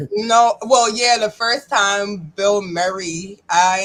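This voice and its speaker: In a Charleston accent, a woman speaks with fairly even intonation. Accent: US Southern, Charleston. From North Charleston, South Carolina. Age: 30s. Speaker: guest, recovering addict. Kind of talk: casual interview chat.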